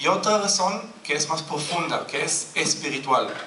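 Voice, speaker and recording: A man speaks very slowly in a raised, projected voice. Audible room echo and noticeable background noise surround him. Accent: non-native. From Israel. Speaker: Bible teacher. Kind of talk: sermon-style Bible study.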